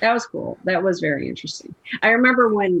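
An unremarkable speaking voice from a woman with an American accent, ordinary pitch variation and a moderate pace. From US Midwest, Chicago. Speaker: film editor. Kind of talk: casual interview.

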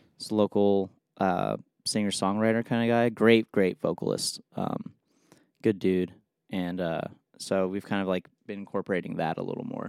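A man with an unremarkable speaking voice and an American accent speaks at a moderate pace with fairly low pitch and fairly even intonation, on a very clean, dry and close recording with a silent background and no echo. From Los Angeles, US. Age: 20s. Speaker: jazz saxophonist and bandleader. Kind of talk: casual chat.

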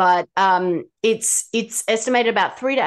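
A woman speaks in a normal speaking voice, at a fairly slow pace with lively intonation. The background is quiet. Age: 40s. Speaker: ADHD health practitioner and author. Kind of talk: expert interview.

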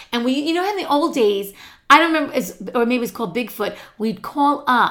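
A woman's high-pitched voice, bright and sharp in tone, with lively intonation at a moderate pace. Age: 50s. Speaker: podcast co-host. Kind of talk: casual chat.

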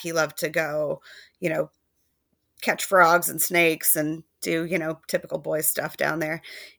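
The background is silent and the recording very clean. A woman talks. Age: 30s. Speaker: guest sharing lived experience of sibling loss. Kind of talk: casual conversation.

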